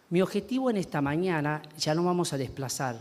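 Lively intonation marks this man's speech. He uses a plain, everyday voice. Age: 40s. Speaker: pastor. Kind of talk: sermon.

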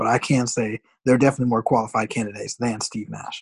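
A man with an American accent, very fast pace, fairly even intonation, somewhat breathy delivery, and a dry, close sound with no echo. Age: 20s. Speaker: podcast co-host. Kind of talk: casual chat.

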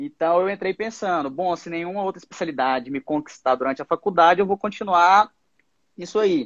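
A high-pitched man's voice at a fairly quick pace. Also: lively intonation. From Goiás, Brazil. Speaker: radiology resident doctor. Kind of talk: interview on a live stream.

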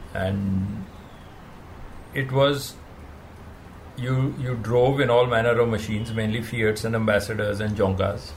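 Audible room echo surrounds a man talking at a medium pitch with fairly even intonation. He goes at a fairly slow pace with long, frequent pauses. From India (Himachal Pradesh). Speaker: rally race director. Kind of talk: interview.

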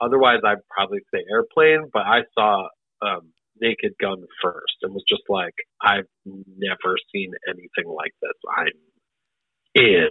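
With an American accent, a man talks at a fairly slow pace, leaving long, frequent pauses. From US Midwest, Great Lakes. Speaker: improv comedian and actor. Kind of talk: casual interview.

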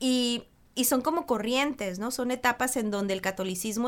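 Delivered at a moderate pace with ordinary pitch variation, the speech sits on a very clean recording with a silent background. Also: woman. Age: 40s. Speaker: meditation teacher. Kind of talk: casual chat.

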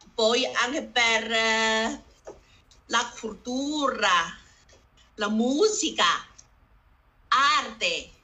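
The woman's voice is high-pitched and very slow, broken by long, frequent pauses. Room echo is audible. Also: ordinary pitch variation. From northern China, Harbin. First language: Chinese (speaking Italian). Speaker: community association founder. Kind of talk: panel discussion. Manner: halting, broken Italian.

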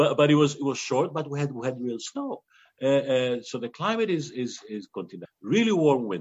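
With a Greek accent, a man speaks at a fairly quick pace in a fairly high voice that swings very widely in pitch. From Greece. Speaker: winemaker. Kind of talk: interview. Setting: video call.

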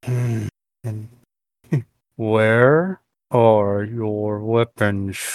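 The man adopts a put-on character voice pitched at a medium level.

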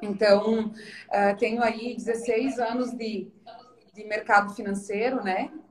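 A woman's fairly high voice at a very slow pace amid noticeable background noise. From Santa Catarina, southern Brazil. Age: 30s. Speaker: financial advisor and cancer survivor. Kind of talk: interview testimony. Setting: Instagram live stream.

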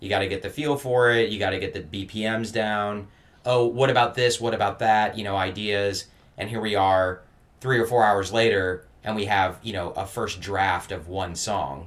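A man speaks in a plain, everyday voice, his fairly low pitch moving with ordinary variation at a moderate pace. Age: 30s. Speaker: podcast host and drummer. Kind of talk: casual interview.

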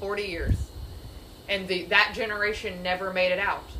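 Over noticeable background noise and audible room echo, a woman with a medium pitch talks at a moderate pace. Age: 30s. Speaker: Bible study leader. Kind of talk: group Bible study discussion.

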